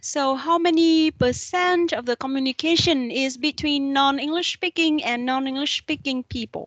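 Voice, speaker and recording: A woman with a Vietnamese accent and a high pitch speaks with fairly even intonation and hardly any pauses, in a dry, close sound with no echo. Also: moderate pace. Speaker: university lecturer. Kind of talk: lecture.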